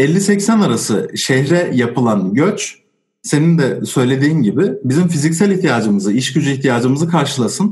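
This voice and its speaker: Hardly any pauses interrupt this man's somewhat breathy speech. His fairly high voice moves through very wide pitch swings. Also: moderate pace, very even loudness. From Turkey, Osmaniye. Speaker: sociology graduate and drummer. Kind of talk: casual discussion.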